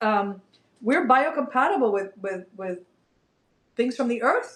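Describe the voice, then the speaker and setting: At a fairly slow pace, a woman talks in a high voice with lively intonation. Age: 60s. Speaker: functional nutrition practitioner and yoga teacher. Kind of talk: interview. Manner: animated.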